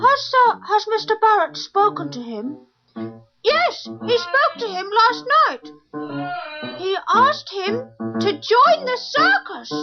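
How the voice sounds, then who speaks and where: A woman speaks in a put-on character voice at an extremely high pitch and a fairly slow pace, with faint music in the background. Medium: audio drama.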